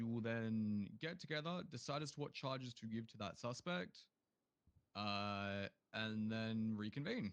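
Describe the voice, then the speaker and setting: Lively intonation marks a man's medium-pitched voice at a moderate pace. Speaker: roleplay police training officer. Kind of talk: roleplay class briefing. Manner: loud.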